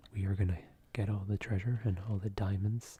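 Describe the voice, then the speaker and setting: A relaxed tone at a moderate pace. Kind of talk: ASMR gaming commentary. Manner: whispered; soft-spoken, relaxed.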